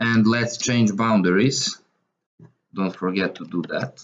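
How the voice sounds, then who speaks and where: Ordinary pitch variation at a very slow pace, with a Serbian accent. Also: man. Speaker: math tutor. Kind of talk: tutorial. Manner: halting, with frequent fillers. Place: home room.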